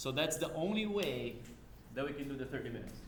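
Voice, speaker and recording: A man with a non-native accent speaks at a fairly quick pace with ordinary pitch variation. Noticeable background noise and audible room echo fill the recording. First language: not English. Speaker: university lab instructor. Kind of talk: lecture. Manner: casual, conversational.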